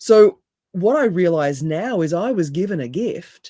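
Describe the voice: A woman's raspy, fairly low voice, dark and mellow in tone, with lively intonation at a fairly slow pace.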